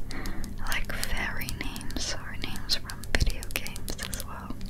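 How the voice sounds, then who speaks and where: Heavy background noise sits under speech delivered at a very slow pace. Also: woman. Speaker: ASMR artist. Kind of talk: ASMR makeup roleplay, casual talk to camera. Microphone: studio mic.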